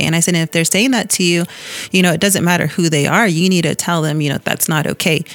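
A woman with an American accent, fairly low pitch and fairly even intonation, over noticeable background noise. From Tuba City area, Arizona (Hopi reservation). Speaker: bank employee. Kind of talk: interview. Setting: studio.

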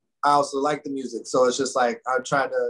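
A man of medium pitch with an American accent. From Arizona. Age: 30s. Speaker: rapper and music producer. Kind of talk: casual chat.

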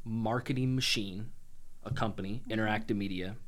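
A man talks with an American accent and ordinary pitch variation, with audible room echo around him. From Illinois, US Midwest (Springfield). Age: 30s. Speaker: entrepreneur. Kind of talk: casual chat.

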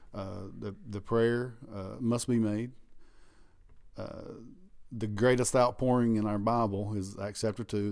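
A man with a Southern US accent speaks at a fairly low pitch in a monotone, flat intonation. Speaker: pastor. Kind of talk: preaching-style casual chat. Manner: loud.

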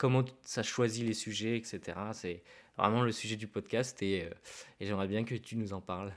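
A man with a French accent speaks at a fairly slow pace, with long, frequent pauses and fairly even intonation in a fairly low voice. The recording is very clean, with a silent background. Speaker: podcast host. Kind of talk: casual interview.

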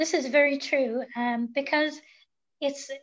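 A woman speaks high-pitched at a fairly slow pace. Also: fairly even intonation.

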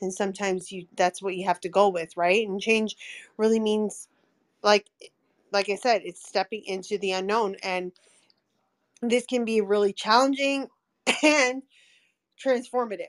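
At a medium pitch and a moderate pace, a woman speaks with ordinary pitch variation and long, frequent pauses, in a dry, close sound with no echo. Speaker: podcast co-host. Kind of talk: live audio room conversation. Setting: live online audio room.

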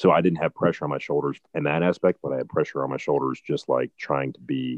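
A man in a Midwestern American accent at a fairly quick pace. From Ohio, Barberton. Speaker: country singer-songwriter. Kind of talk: interview conversation.

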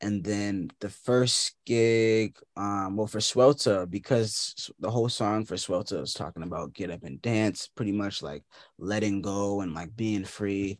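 A man talks fairly slowly with hardly any pauses, in an unremarkable speaking voice with fairly low pitch and ordinary pitch variation, the sound dry and close with no echo over a quiet background. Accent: American. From Boston. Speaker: indie musician. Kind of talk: interview.

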